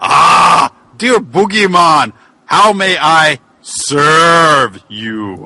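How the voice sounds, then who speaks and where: A man bellows in a put-on character voice with a fairly high pitch. His pace is very slow. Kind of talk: comic overacting. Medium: read story. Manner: bitter, devilish, falsely sincere.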